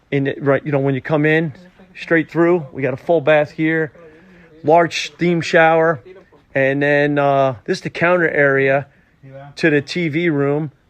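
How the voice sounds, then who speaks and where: Fairly slow delivery from a man, his intonation fairly even. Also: fairly high pitch for a man. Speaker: basement finishing contractor. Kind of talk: casual site walkthrough to camera.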